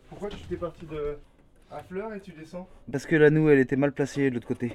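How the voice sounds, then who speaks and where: A man talks fairly quickly at a fairly high pitch with ordinary pitch variation. His loudness swings a lot, and he takes long, frequent pauses. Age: 20s. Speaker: carpenter. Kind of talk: documentary interview.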